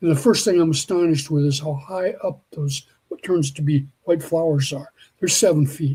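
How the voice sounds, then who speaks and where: With a dark, mellow tone and fairly even intonation, a man talks at a moderate pace and a fairly high pitch. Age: 60s. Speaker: biologist and Bigfoot field researcher. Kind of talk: podcast interview.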